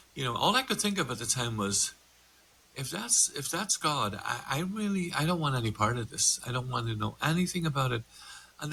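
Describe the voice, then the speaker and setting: A man with an Irish accent talks at a moderate pace with lively intonation. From Ireland, border with Northern Ireland. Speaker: meditation instructor and coach. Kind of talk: podcast conversation.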